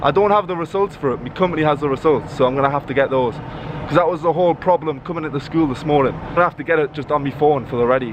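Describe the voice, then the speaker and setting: With a slight Geordie accent, a man talks at a very fast pace and a fairly high pitch over noticeable background noise. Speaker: English teacher and vlogger. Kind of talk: vlog talking to camera. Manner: casual.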